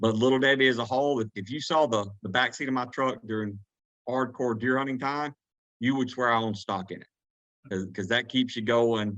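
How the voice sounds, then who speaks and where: Speaking fairly quickly with a Southern US accent, a man has a bright, sharp tone and fairly even intonation. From Georgia, USA. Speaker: turkey hunting guide. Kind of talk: podcast interview answer. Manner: casual, rambling.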